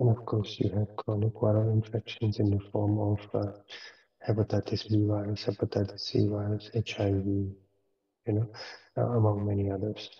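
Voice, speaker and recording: A soft-spoken man at a moderate pace, fairly low in pitch, somewhat breathy, dark and mellow in tone, with monotone, flat intonation. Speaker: professor. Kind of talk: lecture. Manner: hesitant, many fillers.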